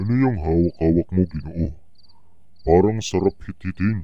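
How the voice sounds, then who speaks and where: In a cartoonish character voice, a man speaks at a moderate pace with a very deep, low pitch. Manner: casual, laid-back.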